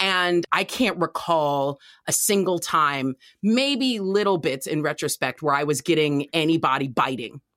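With an American accent, a woman speaks at a fairly slow pace in a very deep, low pitch, her lively intonation carried at very even loudness in a dry, close sound with no echo. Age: 40s. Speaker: comedian. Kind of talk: casual chat.

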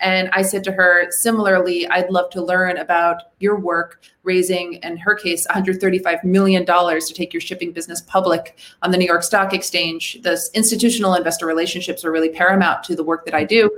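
A woman's medium-pitched voice with an American accent, fairly quick and monotone, with hardly any pauses. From Minnesota. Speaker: venture capitalist. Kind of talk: interview.

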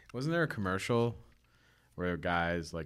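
In a very clean recording with a silent background, a man with an American accent talks at a fairly quick pace. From New York (Staten Island and upstate Warwick). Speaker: winemaker. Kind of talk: casual chat.

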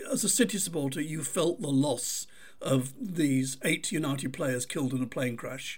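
A man with a Mancunian accent, lively in intonation, at a moderate pace. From Manchester, England. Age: 70s. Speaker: author and podcast host. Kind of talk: casual interview.

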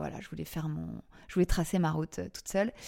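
A woman speaks at a very fast pace in a fairly low pitch. The recording is very clean, with a silent background. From Paris, France. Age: 40s. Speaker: podcast creator and former TV casting director. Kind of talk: interview testimony. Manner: hesitant, many fillers and repetitions.

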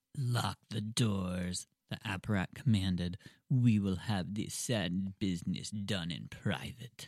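In a put-on character voice, a man speaks fairly slowly at a fairly low pitch with ordinary pitch variation. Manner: creepy, menacing.

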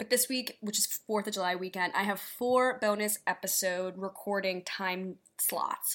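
A woman with an unremarkable speaking voice and an American accent speaks at a moderate pace and medium pitch, with hardly any pauses. Her intonation is fairly even, in a very clean recording with a silent background. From New York City. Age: 20s. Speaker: podcast host. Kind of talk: casual solo commentary. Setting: solo recording.

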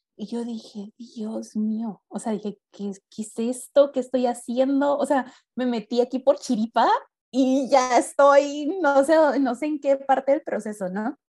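A woman speaks at a fairly slow pace and high pitch, with ordinary pitch variation. Her loudness swings widely, and the sound is dry and close with no echo. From Mexico, Mexicali, Baja California. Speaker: entrepreneur. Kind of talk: casual interview. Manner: animated.

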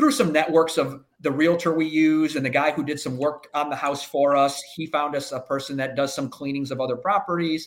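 Speaking at a fairly quick pace, a man with an American accent has a fairly high pitch. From US Midwest, inner-city Chicago. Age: 50s. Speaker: agriculture insurance professional. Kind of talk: podcast interview. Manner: halting, many fillers.

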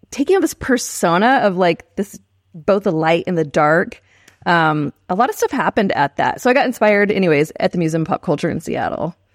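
Recorded very cleanly against a silent background, a woman with an American accent uses an ordinary speaking voice at a fairly quick pace. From Texas, San Marcos. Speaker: screenwriter. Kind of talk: casual chat.

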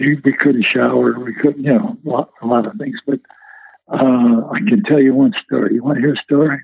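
A man with an American accent and a fairly high pitch speaks at a moderate pace with very wide pitch swings. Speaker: WWII veteran and retired lawyer. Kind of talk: oral history interview. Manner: halting, with many fillers.

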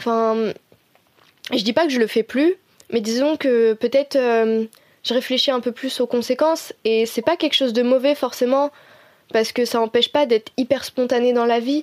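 A woman's high voice with fairly even intonation at a moderate pace, broken by long, frequent pauses, in a dry, close sound with no echo. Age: 20s. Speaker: design student. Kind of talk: personal testimony interview. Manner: hesitant, many fillers.

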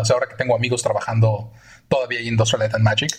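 A man at a medium pitch. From Mexico City. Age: 40s. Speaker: visual effects artist. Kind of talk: interview.

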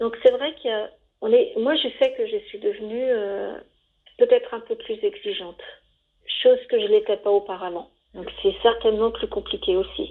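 Her pitch high, a woman speaks at a fairly slow pace with very wide pitch swings and big swings in loudness. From Savoie, France. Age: 50s. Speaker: interviewee. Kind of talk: interview. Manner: hesitant, repeating words.

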